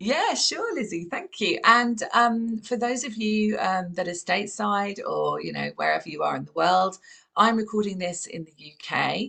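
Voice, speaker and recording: Speaking at a moderate pace with hardly any pauses, a woman with a southern English accent swings widely in loudness. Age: 50s. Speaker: podcast host. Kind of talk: casual interview.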